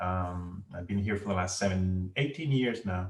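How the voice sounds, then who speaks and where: A somewhat breathy man with a Venezuelan accent, fairly quick pace and ordinary pitch variation. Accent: Venezuelan Spanish accent, noticeable. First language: Spanish. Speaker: ophthalmologist. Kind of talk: interview. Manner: halting.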